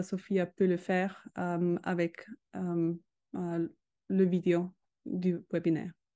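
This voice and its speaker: Her tone is dark and mellow. A woman delivers her words very slowly. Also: quiet background. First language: not French (speaking French). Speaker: educational robotics expert; presenter. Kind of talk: webinar presentation. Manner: halting. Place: home room. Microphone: video call.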